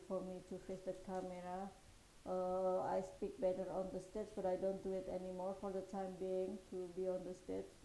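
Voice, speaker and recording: A woman speaks at a medium pitch and a fairly slow pace. Audible room echo surrounds her voice. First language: not English. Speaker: podcast and live stream host. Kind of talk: solo live stream talk. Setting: live stream. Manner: halting, many fillers.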